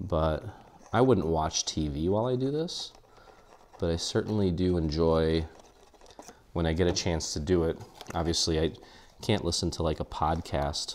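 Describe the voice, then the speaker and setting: A man with a very deep, low pitch and ordinary pitch variation, moderate pace, long and frequent pauses, and light background noise. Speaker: craft tutor. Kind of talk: tutorial.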